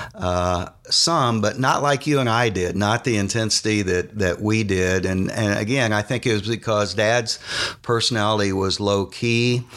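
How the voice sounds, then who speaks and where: With an American accent, a man talks at a fairly slow pace in a fairly low voice with ordinary pitch variation and very even loudness, over noticeable background noise. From Indiana, Muncie area. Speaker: former college basketball player. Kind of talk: interview storytelling.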